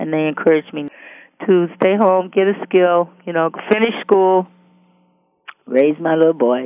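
With a Detroit accent, a woman talks at a moderate pace and a fairly low pitch, using ordinary pitch variation and long, frequent pauses. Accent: Northern US (Detroit). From US Midwest. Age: 60s. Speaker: substitute teacher. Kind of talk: biographical interview. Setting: phone call.

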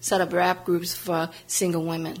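A woman with an American accent talks in a fairly low pitch and a flat, monotone intonation. Noticeable background noise runs beneath her voice. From US South, New Orleans, Louisiana. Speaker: civil rights activist. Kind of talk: biographical interview.

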